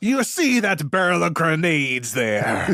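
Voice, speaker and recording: In a put-on character voice, a man speaks at a fairly slow pace with a high pitch and very wide pitch swings. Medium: actual play. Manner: commanding.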